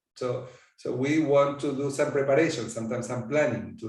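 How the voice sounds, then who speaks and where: With an Argentine accent, a man speaks at a moderate pace. His intonation is monotone and flat, and audible room echo fills the sound. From Argentina. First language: Spanish. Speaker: coaching supervisor. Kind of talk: interview.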